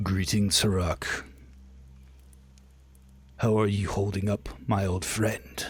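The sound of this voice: With long, frequent pauses, a man uses a put-on, gravelly character voice at a fairly low pitch and a fairly slow pace.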